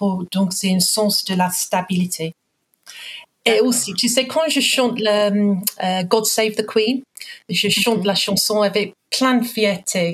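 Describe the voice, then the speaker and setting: In an English accent, a woman speaks at a very slow pace. Her pitch sits in the medium range with ordinary variation. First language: English (speaking French). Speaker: guest. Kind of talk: interview. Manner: halting.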